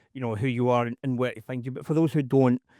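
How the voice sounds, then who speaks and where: In a Scottish accent, a man talks at a very fast pace and a medium pitch. The recording is very clean with a silent background, the sound dry and close with no echo. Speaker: podcast host. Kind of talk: podcast interview.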